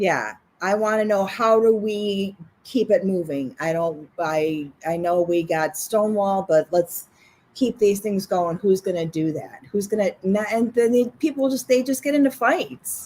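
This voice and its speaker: A woman's plain, everyday voice, medium in pitch, with lively intonation at a fairly slow pace. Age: 50s. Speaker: podcast co-host. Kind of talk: casual chat.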